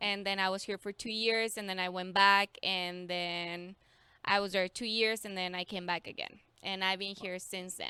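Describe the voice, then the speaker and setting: A woman speaks in a Mexican accent at a moderate pace, her medium-pitched voice bright and sharp in tone. Her intonation is flat and monotone, and the recording is very clean with a silent background. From Mexico, San Luis Potosí. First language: Spanish. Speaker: schoolteacher. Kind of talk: casual interview chat.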